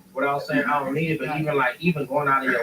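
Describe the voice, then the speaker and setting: Noticeable background noise accompanies a man who speaks very fast. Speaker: rapper. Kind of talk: casual chat. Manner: soft-spoken.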